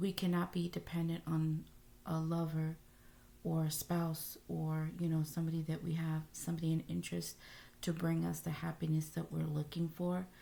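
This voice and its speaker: A dark, mellow, somewhat breathy tone at a moderate pace, with very even loudness and flat, monotone intonation. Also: woman, very deep, low pitch for a woman. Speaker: tarot reader. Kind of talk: tarot reading to camera. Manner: hesitant, many filler sounds.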